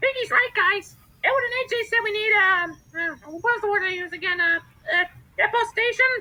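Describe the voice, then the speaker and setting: A put-on character voice at an extremely high pitch rattles along at a fairly quick pace. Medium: machinima. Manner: hesitant, stammering.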